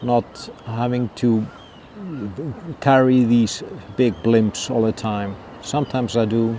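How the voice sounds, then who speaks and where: A man with a non-native accent speaks at a fairly slow pace against noticeable background noise. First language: not English. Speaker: wildlife photographer. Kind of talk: tutorial. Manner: halting.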